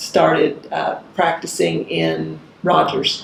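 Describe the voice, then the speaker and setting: Someone with an Arkansas accent is heard through noticeable background noise and audible room echo. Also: woman. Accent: Arkansas Southern US. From US South, rural northwest Arkansas. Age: 60s. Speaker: judge. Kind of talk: oral history interview.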